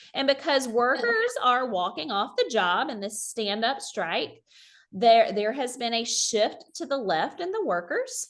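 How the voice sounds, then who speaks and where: Fairly slow and lively in intonation, a woman speaks at a high pitch in a Southern US accent. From South Carolina. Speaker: high school economics teacher. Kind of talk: online teacher workshop presentation. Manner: casual, conversational.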